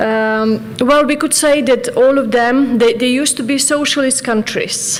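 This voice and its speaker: A woman's fairly slow, fairly even delivery, with audible room echo and noticeable background noise. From Serbia. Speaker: professor. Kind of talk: conference talk. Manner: halting, many fillers.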